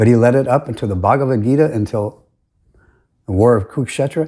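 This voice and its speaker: A man with a somewhat breathy, dark, mellow tone speaks with lively intonation on a very clean recording with a silent background. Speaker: religious commentator. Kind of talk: recorded presentation. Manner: halting.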